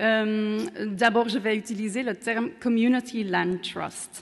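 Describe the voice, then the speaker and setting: A woman speaks with a non-native accent at medium pitch. Her intonation is fairly even. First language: Dutch (speaking French). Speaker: urban researcher. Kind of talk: conference talk. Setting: conference room with audience.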